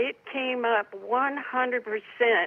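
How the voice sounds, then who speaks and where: The speaker is a woman. Her pitch sits fairly high. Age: 60s. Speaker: patient with rare bone disease. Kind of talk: testimony.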